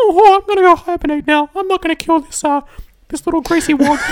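Extremely high-pitched put-on character voice delivered at a moderate speed

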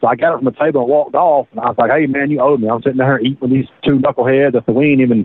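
A man with a Southern US accent, medium in pitch, at a very fast pace. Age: 30s. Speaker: prisoner. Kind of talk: interview. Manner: halting.

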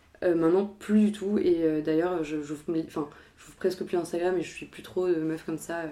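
A woman speaks with a fairly low pitch and a dark, mellow tone, her intonation monotone and flat while her loudness swings widely. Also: moderate pace. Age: 20s. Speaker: art history student. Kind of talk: casual chat.

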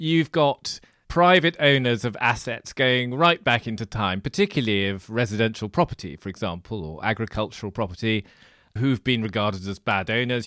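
A speaker with a British accent talks at a moderate pace with lively intonation. The recording is very clean, with a silent background. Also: man. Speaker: podcast host and financial journalist. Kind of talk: interview.

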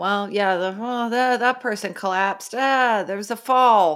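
A woman with a fairly high pitch talks in a plain, everyday voice, keeping a moderate pace and ordinary pitch variation. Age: 40s. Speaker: podcast co-host. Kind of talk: casual chat.

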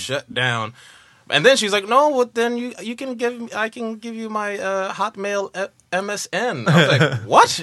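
A man's voice over noticeable background noise. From New York (Harlem). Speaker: comedian. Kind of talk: casual chat. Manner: animated.

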